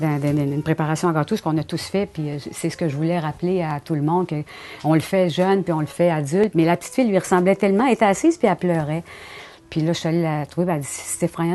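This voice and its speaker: Her pitch sits fairly low and varies in an ordinary way. The woman speaks very fast. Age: 60s. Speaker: painter. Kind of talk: interview monologue. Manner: conversational with hesitations.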